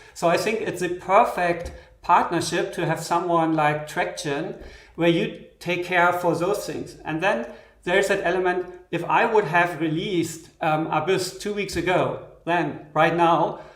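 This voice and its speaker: A man's high-pitched voice, monotone and flat in intonation, at a moderate pace with audible room echo. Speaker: software synth developer. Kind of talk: live stream interview; interview answer. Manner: halting. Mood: relaxed, reflective. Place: studio.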